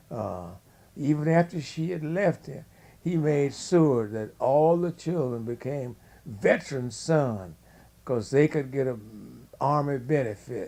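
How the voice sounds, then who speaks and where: With a dark, mellow tone and lively intonation, a man with a fairly high pitch for a man speaks at a fairly slow pace, leaving long, frequent pauses. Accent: Louisiana. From US South, Louisiana (Shreveport). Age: 80s+. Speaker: family elder interviewed. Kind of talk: oral history interview.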